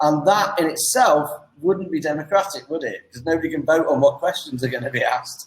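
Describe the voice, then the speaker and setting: In an English accent, a man speaks with a fairly high pitch. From England. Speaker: online English tutor. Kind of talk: casual chat. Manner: fast.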